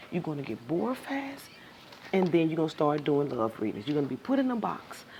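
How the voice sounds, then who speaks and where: Over noticeable background noise, a woman with a very deep, low voice talks at a fairly quick pace, her pitch swinging very widely. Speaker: tarot reading teacher. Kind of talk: live-streamed class.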